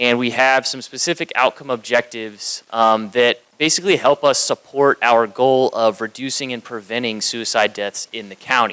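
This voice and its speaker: Recorded with a dry, close sound and no echo, a man speaks at a moderate pace and medium pitch with fairly even intonation and hardly any pauses. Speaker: county communications manager presenting. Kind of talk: conference presentation. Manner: loud.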